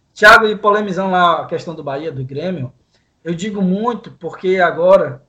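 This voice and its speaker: A man speaks with a high pitch and a bright, sharp tone. His pitch varies in an ordinary way. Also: big swings in loudness. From Brazil, interior of Pará state. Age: 20s. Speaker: professional sports bettor. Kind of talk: sports betting discussion podcast.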